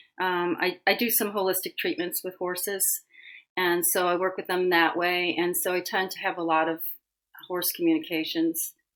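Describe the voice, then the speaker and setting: A woman has a normal speaking voice at medium pitch with an American accent. The recording is very clean, with a silent background. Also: fairly even intonation, moderate pace. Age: 60s. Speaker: animal communicator. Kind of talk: interview conversation.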